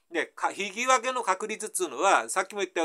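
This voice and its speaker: A man talks fairly quickly in a Tohoku accent. The background is quiet. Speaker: math tutor. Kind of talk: casual math lesson explanation. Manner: casual, folksy. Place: home room. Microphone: camera far.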